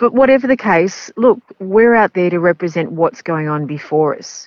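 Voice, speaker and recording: In an Australian accent, a woman is talking. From Melbourne, Australia. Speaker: race caller. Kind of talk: interview. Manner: hesitant, fillers, chatty.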